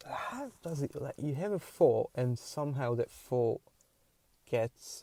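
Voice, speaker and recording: A man with a Hungarian accent speaks at a very slow pace and a fairly high pitch, with ordinary pitch variation. His tone is dark and mellow, and the sound is dry and close with no echo. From Hungary. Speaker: podcaster. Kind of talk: casual monologue. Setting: in a car. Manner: halting.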